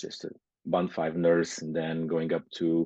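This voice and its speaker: A man speaks at a fairly slow pace with a Portuguese accent. His voice is very deep and low, with a dark, mellow tone. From Portugal. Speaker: nurse and business owner. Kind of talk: interview. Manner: halting, many fillers.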